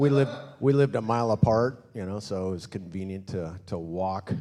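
A man is speaking. His tone is dark and mellow. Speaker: pastor. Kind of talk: sermon introduction. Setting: church. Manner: casual, humorous.

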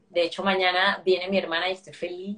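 The woman speaks at a medium pitch. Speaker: interview guest. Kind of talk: interview.

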